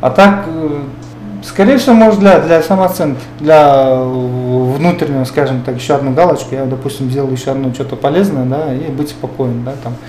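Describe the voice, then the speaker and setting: Music plays in the background, and audible room echo can be heard. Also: man, fairly high pitch for a man, ordinary pitch variation, moderate pace. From Kyrgyzstan, Talas region. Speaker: businessman. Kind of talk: interview. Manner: halting.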